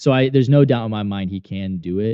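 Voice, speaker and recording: This man's fairly low voice moves with ordinary pitch variation. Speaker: day trader and trading course instructor. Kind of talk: live trading stream commentary. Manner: loud; casual, rambling with repetitions.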